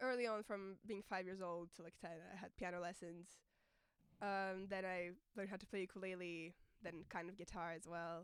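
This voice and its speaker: A woman speaks at a moderate pace and medium pitch. She leaves long, frequent pauses. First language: not English; sings in French and Russian. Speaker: singer-songwriter. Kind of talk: interview. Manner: hesitant, many fillers.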